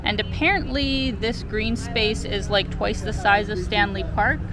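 Music plays in the background as a woman speaks in a dry sound with no echo. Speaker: travel vlogger. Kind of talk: casual vlog chat. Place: waterside. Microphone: phone near.

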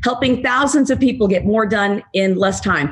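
The speech runs at a fairly quick pace against a quiet background. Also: woman. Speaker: webinar host introducing a guest. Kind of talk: host introduction. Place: home room. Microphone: webcam.

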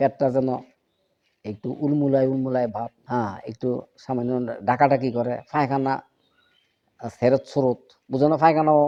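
A man's dark, mellow tone holds a fairly even intonation. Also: medium pitch for a man. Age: 60s. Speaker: religious teacher and herbal healer. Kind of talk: informal health talk to followers. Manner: casual, conversational.

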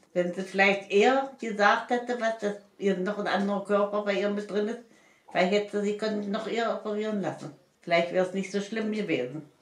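Audible room echo around a woman speaking at a fairly quick pace with fairly even intonation. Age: 80s+. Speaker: grandmother. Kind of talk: casual interview answer. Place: home room. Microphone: camera far.

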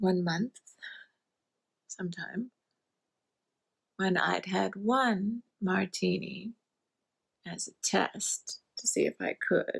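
In a put-on character voice, a woman speaks slowly at medium pitch with fairly even intonation, vocal fry, a slightly husky edge and long, frequent pauses.

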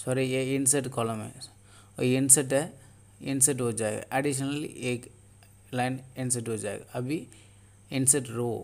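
Pausing long and often, a man speaks at a medium pitch in a monotone, flat intonation. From Tamil Nadu, India. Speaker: tech tutorial youtuber. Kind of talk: tutorial. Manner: halting.

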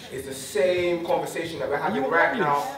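A man talks at a fairly quick pace. Noticeable background noise and audible room echo fill the recording. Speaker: speaker. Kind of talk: public address to community audience. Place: stage.

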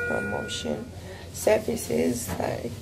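A woman speaks at a very slow pace with ordinary pitch variation. Music plays in the background. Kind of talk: casual vlog chat. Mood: weary but determined. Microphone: earbuds.

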